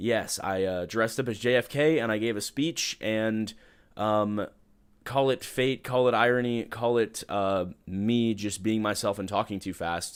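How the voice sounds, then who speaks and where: A man with a normal speaking voice, medium pitch and a fairly slow pace, in a very clean recording with a silent background. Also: ordinary pitch variation. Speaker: livestream podcast host. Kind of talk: casual live stream chat. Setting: live stream.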